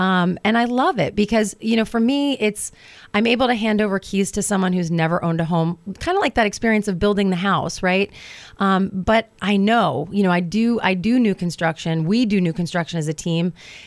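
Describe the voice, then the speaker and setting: A woman speaks at a fairly quick pace in an ordinary speaking voice, medium in pitch, with ordinary pitch variation and very even loudness. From New Jersey (Hoboken). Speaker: realtor. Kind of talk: radio interview.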